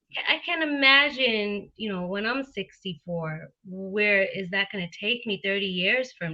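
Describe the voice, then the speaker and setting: An unremarkable speaking voice moves at a fairly slow pace with hardly any pauses. The intonation is lively. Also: woman, medium pitch for a woman. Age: 30s. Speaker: realtor and show host. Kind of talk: interview.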